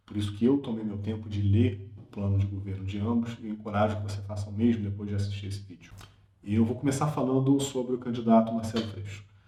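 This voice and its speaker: Over noticeable background noise, the speaker races along at a very fast pace with fairly even intonation and big swings in loudness. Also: man, fairly low pitch for a man. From Brazil, Rio de Janeiro. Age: 30s. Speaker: political commentator. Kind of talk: political opinion monologue.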